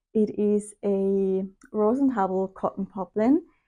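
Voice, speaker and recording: Against a quiet background, a woman speaks at a fairly high pitch. Her tone is dark and mellow. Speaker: sewing vlogger. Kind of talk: casual talk to camera.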